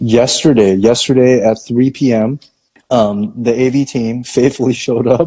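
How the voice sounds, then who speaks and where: A man with an ordinary speaking voice talks at a moderate pace, at a medium pitch, with fairly even intonation. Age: 30s. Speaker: pastor. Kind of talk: casual chat. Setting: live video stream.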